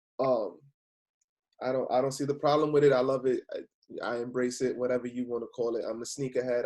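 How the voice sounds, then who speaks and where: Speaking at a fairly quick pace with a New York accent, a man keeps a medium-pitched voice in monotone, flat intonation. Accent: New York (Bronx) English. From New York City, the Bronx. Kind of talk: casual chat.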